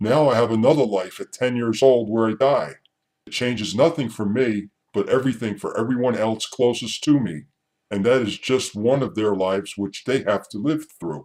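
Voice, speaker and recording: An ordinary speaking voice from a man, medium in pitch, at a moderate pace with ordinary pitch variation. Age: 60s. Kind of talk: reading own essay.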